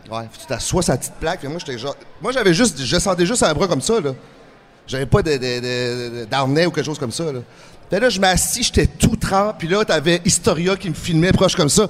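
With noticeable background noise, a man talks at a fairly quick pace in a high voice. His pitch swings very widely and his loudness varies a great deal. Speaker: professional wrestler and actor. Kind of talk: interview.

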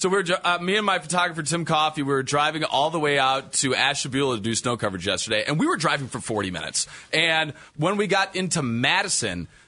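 This man talks very fast, his voice fairly high with lively intonation. His tone is bright and sharp, and his loudness stays very even. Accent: American. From northern Illinois. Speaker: TV meteorologist. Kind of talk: casual chat.

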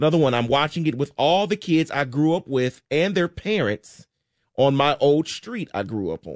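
Here is a man with an unremarkable speaking voice, fairly high in pitch and lively in intonation, going at a moderate pace. The sound is dry and close with no echo, and the background is quiet. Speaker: radio co-host. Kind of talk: reading listener texts on sports radio. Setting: studio.

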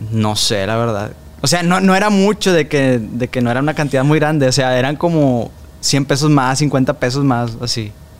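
Lively intonation marks a man's medium-pitched voice. He speaks at a moderate pace in an ordinary speaking voice. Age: 20s. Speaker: former TV show performer and actor. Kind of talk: interview.

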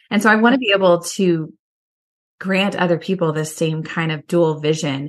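An ordinary speaking voice with an American accent, set against a quiet background. The intonation is fairly even and the pace moderate. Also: woman. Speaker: professor and author. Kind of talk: casual interview conversation about reading and faith. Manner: thoughtful, warm, laughs often.

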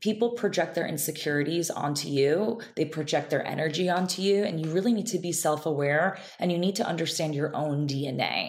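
A woman speaks at a fairly quick pace with hardly any pauses, in an unremarkable speaking voice. She has an American accent and ordinary pitch variation. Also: fairly low pitch for a woman. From Israel, then upstate New York. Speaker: beauty entrepreneur, esthetician. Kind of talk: interview conversation.

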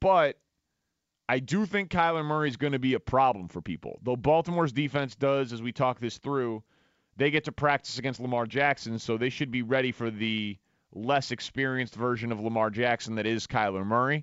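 A man speaks in a plain, everyday voice at a medium pitch. His pace is fairly quick and his pitch variation ordinary. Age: 30s. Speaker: sports radio host. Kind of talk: sports talk radio monologue. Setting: radio studio.

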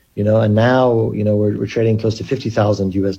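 Somewhat breathy and dark, mellow in tone, a man with a medium pitch talks at a fairly quick pace with fairly even intonation. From Kenya. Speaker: cryptocurrency company chief executive. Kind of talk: radio interview.

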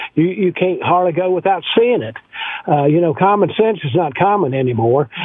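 Noticeable background noise is present. The talking keeps a moderate pace. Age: 70s. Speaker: retired salesman, caller. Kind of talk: call-in chat. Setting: phone call.

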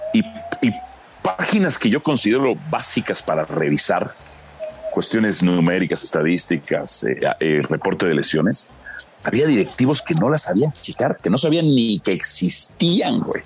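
Over noticeable background noise, a man speaks at a fairly slow pace and medium pitch, his pitch swinging very widely while his loudness stays very even. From Mexico. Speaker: football commentator and journalist. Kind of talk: casual chat.

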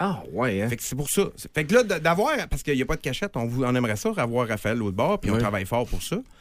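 A man's medium-pitched voice at a very fast pace, with very wide pitch swings. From Quebec, Saguenay region. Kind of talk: casual chat.

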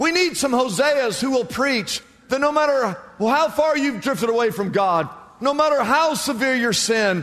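A man with an extremely high voice speaks with lively intonation. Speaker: preacher. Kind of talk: sermon. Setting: church. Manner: animated; emphatic, rhetorical repetition.

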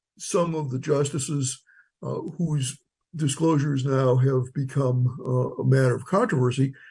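A man's fairly high, somewhat breathy voice with a dark, mellow tone, fairly slow, over a quiet background. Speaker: law professor. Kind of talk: interview.

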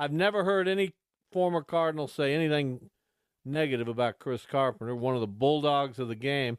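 A man with an American accent has a plain, everyday voice at a fairly high pitch. He speaks at a fairly quick pace with ordinary pitch variation, in a dry, close sound with no echo. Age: 60s. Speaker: sports radio host. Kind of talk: casual radio talk. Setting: studio.

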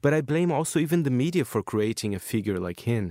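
Fairly quick, lively speech from a man with a Portuguese accent, on a very clean recording with a silent background and a dry, close sound with no echo. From Brazil, São Paulo city. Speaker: magazine correspondent. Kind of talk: radio interview.

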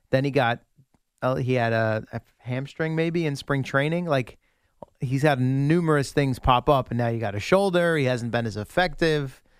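Dry and close with no echo, a man speaks in a plain, everyday voice. His medium pitch has ordinary pitch variation at a moderate pace. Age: 30s. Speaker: sports radio co-host. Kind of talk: casual chat.

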